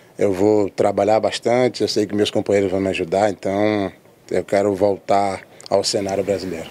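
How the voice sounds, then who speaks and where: A man's fairly low, flat monotone unfolds at a moderate pace. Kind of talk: interview answer. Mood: calm, soft-spoken, looking down. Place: stadium. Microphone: handheld.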